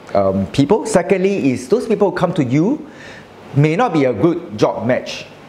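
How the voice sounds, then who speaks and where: Speaking at a moderate pace, a man swings his pitch very widely over light background noise. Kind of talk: interview answer. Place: cafe.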